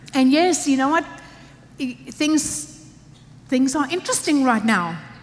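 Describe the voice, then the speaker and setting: Speech at a very slow pace with long, frequent pauses, very wide pitch swings and very even loudness comes through noticeable background noise and audible room echo. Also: woman. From Africa. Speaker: pastor. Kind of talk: sermon. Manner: animated.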